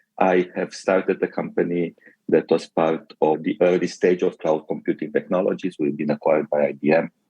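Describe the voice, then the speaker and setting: A man speaks with a Romanian accent. The sound is dry and close, with no echo. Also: fairly quick pace. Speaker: tech company executive. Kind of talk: interview.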